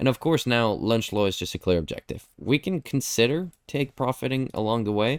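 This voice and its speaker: A man talks at a fairly quick pace and medium pitch, with lively intonation and hardly any pauses. The recording is very clean, with a silent background and a dry, close sound with no echo. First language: not English. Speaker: trading educator. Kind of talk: live stream chart review. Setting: live stream with chat. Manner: casual, conversational.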